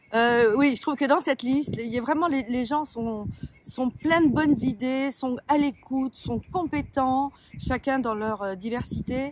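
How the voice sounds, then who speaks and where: Noticeable background noise sits behind the recording. A woman speaks high-pitched at a fairly slow pace with ordinary pitch variation. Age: 60s. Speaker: shopkeeper and municipal election candidate. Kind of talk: interview. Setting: outdoors by a pond, sunny.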